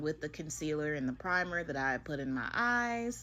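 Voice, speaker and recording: A woman speaks at a moderate pace with a bright, sharp tone and lively intonation. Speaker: beauty vlogger. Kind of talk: voiceover commentary. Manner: animated.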